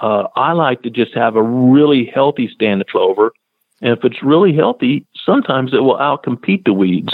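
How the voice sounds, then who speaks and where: Here is a man with a medium pitch and a plain, everyday voice. He speaks at a moderate pace. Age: 50s. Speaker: wildlife biologist. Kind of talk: radio interview.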